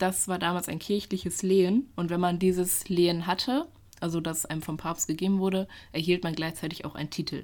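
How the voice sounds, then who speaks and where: A woman speaks at a fairly quick pace in a fairly low pitch, with an unremarkable speaking voice and fairly even intonation. The recording is very clean, with a silent background. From German village. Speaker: history student and podcast co-host. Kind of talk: casual storytelling chat.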